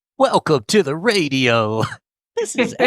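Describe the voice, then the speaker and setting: A man uses a put-on character voice at a fairly high pitch, with very wide pitch swings. He talks at a fairly slow pace, and the sound is dry and close with no echo. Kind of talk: fake, overly smooth broadcast.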